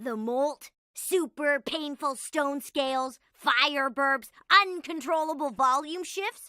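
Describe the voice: Putting on a cartoonish character voice, a woman speaks slowly in a high, bright, sharp tone. Her pitch variation is ordinary.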